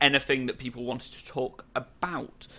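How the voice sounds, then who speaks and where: A man speaks with a British accent in a bright, sharp tone. His pace is moderate. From Britain. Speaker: podcast host. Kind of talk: casual chat.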